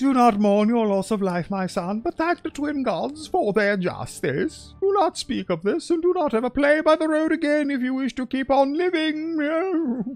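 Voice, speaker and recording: Faint music plays behind a man doing a put-on character voice at an extremely high pitch. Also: moderate pace. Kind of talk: archaic, formal. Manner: solemn, grave, admonishing.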